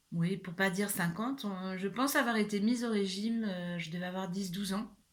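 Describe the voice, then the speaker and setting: This woman has a medium pitch and ordinary pitch variation. She talks at a fairly quick pace. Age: 60s. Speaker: YouTuber sharing personal experience. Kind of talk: personal vlog monologue. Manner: hesitant, many fillers.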